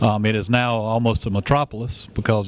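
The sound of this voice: A man speaks at a fairly quick pace with little pitch movement. His pitch sits fairly low.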